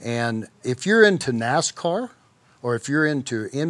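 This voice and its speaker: With an Arkansas accent, a man speaks at a fairly slow pace. His pitch sits fairly high. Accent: Southern US (Arkansas). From US South, southeast Arkansas. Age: 50s. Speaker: professional bull rider. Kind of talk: interview.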